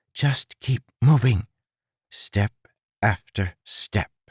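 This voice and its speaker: A very slow, put-on character voice from a man, pitched in the middle range. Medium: read story.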